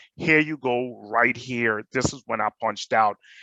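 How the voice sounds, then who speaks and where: Bright and sharp in tone, a man with a Jamaican accent is heard in a dry, close sound with no echo and a quiet background. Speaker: panelist, hospitality manager. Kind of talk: personal testimony on panel.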